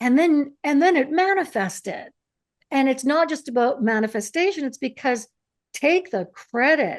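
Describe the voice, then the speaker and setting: Over a quiet background, a woman with a Canadian accent speaks at a fairly slow pace in a high pitch with very wide pitch swings. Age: 60s. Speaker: author and interviewer. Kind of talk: interview conversation.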